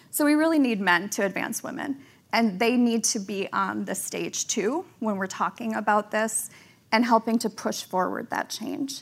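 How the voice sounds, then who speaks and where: Recorded very cleanly against a silent background, a woman with a fairly high pitch and vocal fry talks at a moderate pace with ordinary pitch variation. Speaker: magazine editor. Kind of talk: casual panel chat. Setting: stage with audience.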